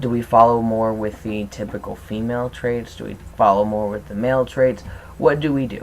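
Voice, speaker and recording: Fairly quick in pace, a man speaks at a medium pitch with fairly even intonation. His loudness swings widely. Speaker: transgender video blogger. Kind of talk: vlog monologue. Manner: fast.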